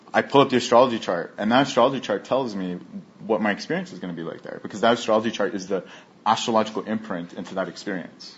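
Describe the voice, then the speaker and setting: Talking at a very fast pace, a man uses a fairly low voice with ordinary pitch variation and big swings in loudness. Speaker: astrologer. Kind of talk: interview.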